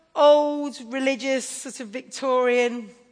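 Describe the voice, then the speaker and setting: With audible room echo, a woman speaks in an American accent at a high pitch. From England. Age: 50s. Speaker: preacher. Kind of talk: sermon.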